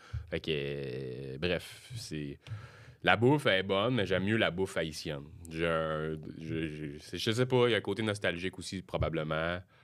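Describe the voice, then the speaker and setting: Speaking with a Quebec accent, a man with a very deep, low pitch uses lively intonation at a fairly slow pace, captured on a very clean recording with a silent background. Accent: Québécois French. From Quebec, Sorel. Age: 30s. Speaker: comedian. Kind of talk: casual chat. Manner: halting.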